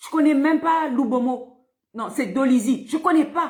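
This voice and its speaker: With a high voice, the woman speaks at a fairly slow pace. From Republic of the Congo, Pointe-Noire. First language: Vili (speaking French). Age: 50s. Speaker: political activist.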